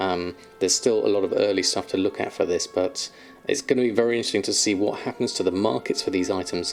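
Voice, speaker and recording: A man with a southern English accent, talking at a very fast pace over music in the background. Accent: generic southern English. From southern England. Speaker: streamer. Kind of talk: live stream chat. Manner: hesitant with frequent fillers.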